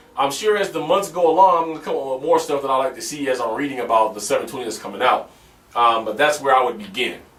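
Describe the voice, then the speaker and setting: The man rattles off his words at a very fast pace while noticeable background noise carries on. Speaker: gaming vlogger. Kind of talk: casual Q&A vlog. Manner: hesitant, filler-heavy.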